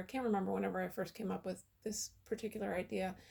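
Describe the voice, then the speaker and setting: A woman's voice sounds shaky, with a dark, mellow tone. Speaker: painter. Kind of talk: casual talk to camera.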